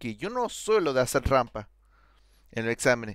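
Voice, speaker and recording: Lively intonation comes through on a very clean recording with a silent background and a dry, close sound with no echo. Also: man. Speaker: programming student. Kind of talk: casual chat.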